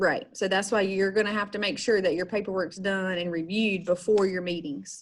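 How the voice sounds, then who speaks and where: A woman speaks at medium pitch with a normal speaking voice and fairly even intonation. Her pace is fairly quick, with hardly any pauses. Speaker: special education trainer. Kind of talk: online training session. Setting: video call.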